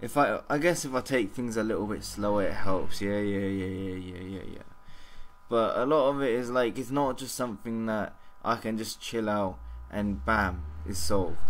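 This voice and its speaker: A man with a fairly low pitch and lively intonation at a moderate pace, amid audible room echo. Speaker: vlogger. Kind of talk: casual vlog monologue. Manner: halting, stumbling over words.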